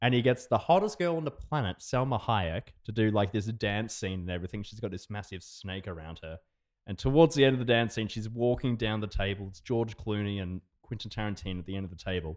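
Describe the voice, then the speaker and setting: A man talks at a very fast pace with an Australian accent. His pitch is fairly low, with ordinary variation. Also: big swings in loudness. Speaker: podcast co-host. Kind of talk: casual chat.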